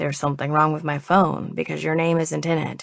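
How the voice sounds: A put-on character voice at a fairly quick clip over a quiet background. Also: woman.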